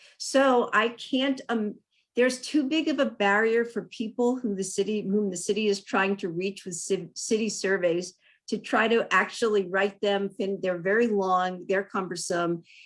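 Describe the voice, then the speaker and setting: Speaking at a moderate pace, a woman with a normal speaking voice keeps a medium pitch and ordinary pitch variation. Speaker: city council candidate. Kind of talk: candidate forum answer. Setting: virtual forum.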